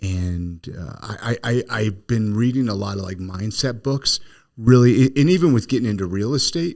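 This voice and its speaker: A man speaks with an unremarkable speaking voice at medium pitch. His pace is moderate and his intonation lively. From California. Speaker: podcast host and real estate agent. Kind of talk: casual interview chat.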